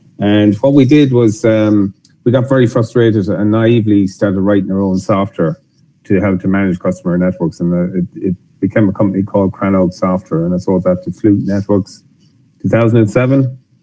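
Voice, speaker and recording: His tone is dark and mellow, with a fairly low pitch and ordinary pitch variation. The man keeps a fairly quick pace. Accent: Irish. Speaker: software company executive. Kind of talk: webinar presentation.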